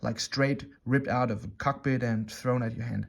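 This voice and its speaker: The man speaks with a German accent at a moderate pace and a medium pitch. The recording is very clean, with a silent background. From Germany. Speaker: watch reviewer. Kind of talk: product review. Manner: halting, many fillers.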